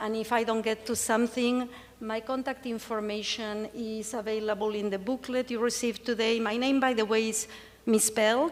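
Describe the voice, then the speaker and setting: With an Argentine accent, the speaker talks at a moderate pace in a flat, monotone delivery. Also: woman, fairly high pitch for a woman. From Argentina. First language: Spanish. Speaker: cancer patient speaker. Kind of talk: conference presentation. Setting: stage with audience.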